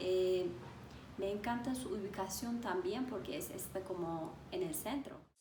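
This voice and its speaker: A woman's somewhat breathy, medium-pitched voice in a Turkish accent, dark and mellow in tone, at a fairly slow pace with ordinary pitch variation and audible room echo. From Turkey, Istanbul. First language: Turkish (speaking Spanish). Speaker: language teacher. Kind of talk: interview.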